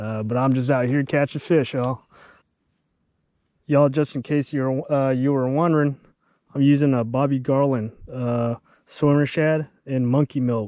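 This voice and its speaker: A man with an American accent speaks at a moderate pace, using long, frequent pauses. His medium-pitched voice has a dark, mellow tone and fairly even intonation. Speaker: fishing video creator. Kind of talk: tutorial; casual outdoor vlog narration. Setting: outdoors on a kayak. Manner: casual with many fillers; quiet, subdued speaking.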